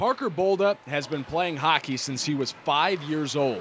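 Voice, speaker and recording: A man's fairly high-pitched voice, an ordinary speaking voice, at a moderate pace with ordinary pitch variation. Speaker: sports reporter and anchor. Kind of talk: local TV news feature voiceover.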